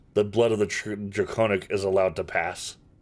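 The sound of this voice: Putting on a character voice, a man rumbles at a fairly low pitch and a fairly quick pace. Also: monotone, flat intonation.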